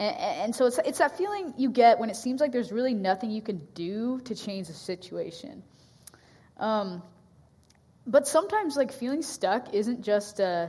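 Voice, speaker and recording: Over noticeable background noise, a woman speaks at a fairly high pitch. Her pitch swings are very wide and her pace is moderate. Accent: West Coast. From US Pacific Northwest. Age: 20s. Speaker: campus ministry staff. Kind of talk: sermon. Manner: hesitant, many fillers.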